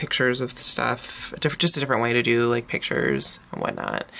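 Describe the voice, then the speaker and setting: A woman talks at a moderate pace while noticeable background noise fills the recording. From US, Northern Virginia. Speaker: planner YouTuber and teacher. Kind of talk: casual haul video monologue. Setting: home recording with SLR camera. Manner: hesitant, many fillers and restarts.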